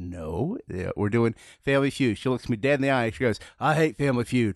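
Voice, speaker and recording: At a fairly quick pace, a man talks with very wide pitch swings, the sound dry and close with no echo against a quiet background. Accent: Southern US. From US Deep South. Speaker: comedian and trivia host. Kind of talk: casual chat.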